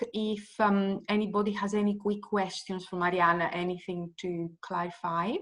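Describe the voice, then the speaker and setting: A woman speaks with a Greek accent. Her pace is fairly slow. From Greece. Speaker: event host. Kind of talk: event moderation. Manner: halting, many fillers.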